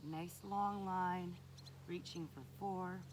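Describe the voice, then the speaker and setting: A soft-spoken woman talks in a fairly low pitch with ordinary pitch variation. Audible room echo surrounds her voice. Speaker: fitness instructor. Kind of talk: guided exercise instruction. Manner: slow.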